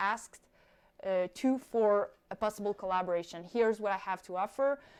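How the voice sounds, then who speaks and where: A woman with a non-native accent, lively intonation and a moderate pace. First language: not English. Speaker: skydiver and YouTuber. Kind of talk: live stream Q&A. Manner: casual, with fillers.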